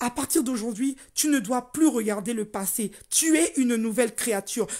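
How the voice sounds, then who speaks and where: A woman speaks with a dark, mellow tone and a high pitch. Her pitch varies in an ordinary way. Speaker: life coach. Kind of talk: motivational talk. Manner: deliberately slowed down.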